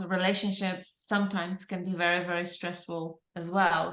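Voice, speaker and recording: With a Polish accent, a woman speaks in fairly even intonation, and audible room echo surrounds her voice. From Poland. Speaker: transformative coach. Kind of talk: interview chat.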